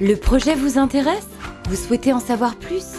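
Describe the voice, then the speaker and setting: Music in the background accompanies a woman as she talks. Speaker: voice actor. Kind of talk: corporate explainer narration.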